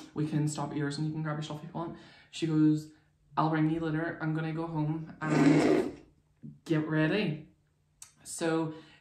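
Speech at a moderate pace with long, frequent pauses comes through with audible room echo and light background noise. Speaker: makeup vlogger. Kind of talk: casual vlog chat, storytelling. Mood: playful, laughing. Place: home room. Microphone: phone near.

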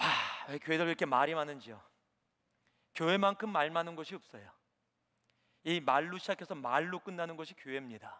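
In an animated tone, a man speaks at a fairly quick pace with long, frequent pauses and ordinary pitch variation. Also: fairly high pitch for a man. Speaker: preacher. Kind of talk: sermon. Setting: church. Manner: animated, rhetorical questions, exhorting the congregation.

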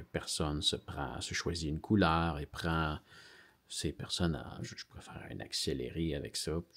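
Speaking at a fairly slow pace, a man uses a very deep, low pitch with vocal fry. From Quebec. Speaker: YouTuber. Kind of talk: casual vlog. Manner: halting.

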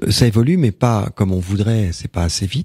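In a very clean recording with a silent background, a man talks at a moderate pace in a fairly low, somewhat breathy voice with ordinary pitch variation, the sound dry and close with no echo. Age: 60s. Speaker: storyteller and author on Celtic shamanism. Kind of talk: radio interview. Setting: radio studio. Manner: halting, frequent repetitions.

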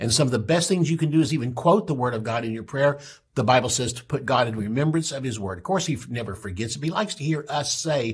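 A man's somewhat breathy, medium-pitched voice at a very fast pace, with ordinary pitch variation. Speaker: pastor and Bible teacher; pastor, Bible teacher. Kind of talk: Bible teaching broadcast. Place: studio.

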